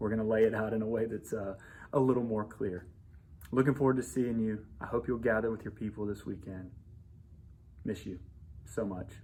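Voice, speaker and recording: Amid audible room echo, a man speaks at a fairly quick pace in a fairly low voice with fairly even intonation, broken by long, frequent pauses. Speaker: pastor. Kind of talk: devotional message to congregation. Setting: church building under renovation. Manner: fast.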